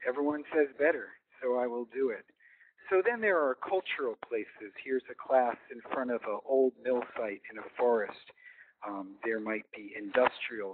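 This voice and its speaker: The speaker is a man. He talks at a moderate pace. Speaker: educator presenting webinar. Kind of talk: webinar presentation. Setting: online webinar. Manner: quiet. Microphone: too quiet at first, then mic held close.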